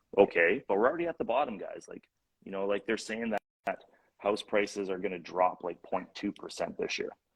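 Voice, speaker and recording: This man has a Canadian accent and a fairly low pitch. He speaks at a fairly quick pace in a dry, close sound with no echo. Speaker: real estate investor and coach. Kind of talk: casual interview chat. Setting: live-streamed video chat. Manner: fast.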